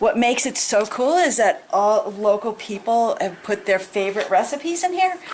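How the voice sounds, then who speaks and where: A woman's pitch swings very widely as she talks at a moderate pace, with noticeable background noise present. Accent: American. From Connecticut. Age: 60s. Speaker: home cook. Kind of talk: cooking demonstration. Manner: casual.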